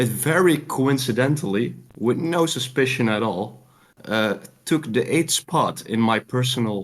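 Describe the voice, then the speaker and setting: Lively intonation from a man with a Dutch accent. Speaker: caller. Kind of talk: game pitch.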